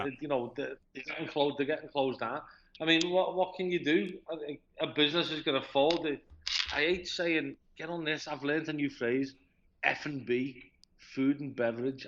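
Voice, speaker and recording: This man has a Liverpool accent and a fairly high voice, speaking at a moderate pace. The background is quiet. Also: fairly even intonation. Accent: Scouse. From Liverpool, England. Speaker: expat living in China. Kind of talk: interview answer.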